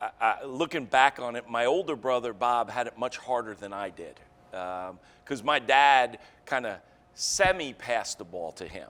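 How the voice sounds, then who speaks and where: The recording is very clean, with a silent background. A man at medium pitch speaks with lively intonation and big swings in loudness. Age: 60s. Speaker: company CEO. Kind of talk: interview. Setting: studio. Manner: halting.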